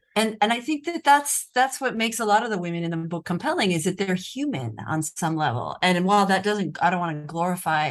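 With an American accent, a woman talks at a fairly quick pace and medium pitch with lively intonation, against a quiet background. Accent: American, speaks Italian. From United States. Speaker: journalist and true crime author. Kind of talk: interview. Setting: video call from Rome.

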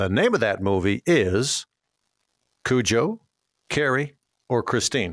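The speaker goes at a fairly slow pace with long, frequent pauses, lively intonation and very even loudness, in a dry, close sound with no echo. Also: man, medium pitch for a man. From Minnesota. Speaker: radio host and auctioneer. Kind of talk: radio call-in show chat.

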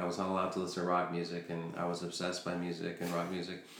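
Noticeable background noise and audible room echo around a man with an American accent. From Chile, raised in the US from about age four. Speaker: podcast guest, entrepreneur. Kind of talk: casual chat. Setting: dining room at home.

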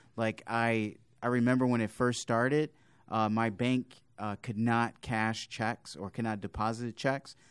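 A man speaks at a medium pitch and a moderate pace. It is an ordinary speaking voice, in a very clean recording with a silent background. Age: 30s. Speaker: deacon and podcast host. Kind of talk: podcast interview.

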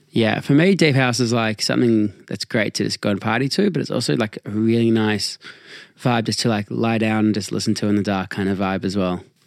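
Over a very clean recording with a silent background, a plain, everyday voice moves at a fairly quick pace with ordinary pitch variation. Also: man, fairly low pitch for a man, dry, close sound with no echo. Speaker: podcast host. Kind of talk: casual chat. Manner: casual, joking.

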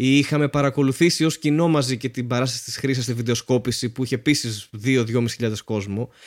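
With hardly any pauses, a man speaks at a moderate pace in an ordinary speaking voice, medium in pitch with fairly even intonation. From Greece. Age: 30s. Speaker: comedian podcast host. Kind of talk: casual chat.

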